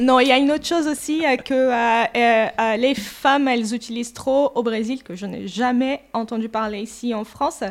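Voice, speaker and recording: This woman speaks at a moderate pace with a Portuguese accent. Her pitch is high, with ordinary variation. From Brazil. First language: Portuguese (speaking French). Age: 40s. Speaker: gym member, receptionist. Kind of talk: casual interview.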